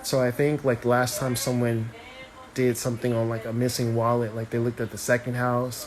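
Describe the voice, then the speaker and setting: Over noticeable background noise, a man with a medium pitch talks at a moderate pace. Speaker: astrologer and tarot reader. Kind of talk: casual live stream chat. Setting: live video stream.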